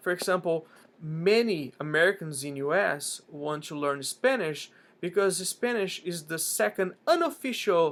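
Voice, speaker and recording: With big swings in loudness, a man talks at a fairly slow pace in a high voice. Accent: Portuguese. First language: Portuguese. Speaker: language learning vlogger. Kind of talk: casual vlog talk. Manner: frequent fillers and restarts.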